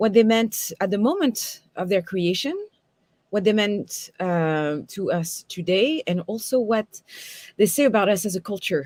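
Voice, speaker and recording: Speaking with a strong French accent, a woman uses lively intonation. Her pitch is medium. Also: fairly slow pace, very clean recording, silent background. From France. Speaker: tarot reader and teacher. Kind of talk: lecture. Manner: many fillers and hesitations.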